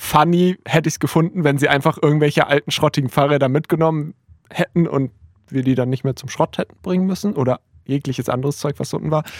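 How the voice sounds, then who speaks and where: A woman speaks very fast in a very deep, low voice, with fairly even intonation and a dry, close sound with no echo. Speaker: podcast co-host. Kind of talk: casual chat.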